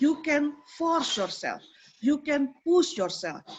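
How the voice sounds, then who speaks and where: Lively intonation at a fairly slow pace, with an Indonesian accent. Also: woman. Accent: Javanese-accented English. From Indonesia (Java). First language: Javanese or Indonesian. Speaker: program coordinator, lecturer. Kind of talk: online forum hosting, motivational talk. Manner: animated.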